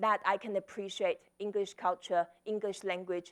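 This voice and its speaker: Speaking at a fairly slow pace, a woman has a Chinese accent. The recording is very clean and close, dry with no echo and a silent background. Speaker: author and speaker. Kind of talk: conference talk.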